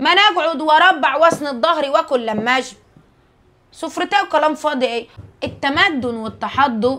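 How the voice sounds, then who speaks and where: A woman speaks in a raised, projected voice with a high pitch and lively intonation. Her tone is bright and sharp. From rural Egypt. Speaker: social media creator. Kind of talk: casual monologue to viewers. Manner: animated.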